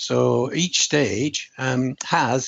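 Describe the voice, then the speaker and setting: The man's voice sits at a medium pitch and carries vocal fry. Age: 70s. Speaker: author and speaker. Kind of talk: interview.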